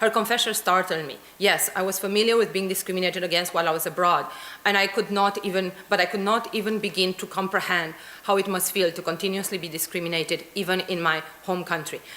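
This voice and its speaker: In a Romanian accent, a woman talks at a very fast pace with medium pitch and monotone, flat intonation. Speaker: academic researcher. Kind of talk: conference talk.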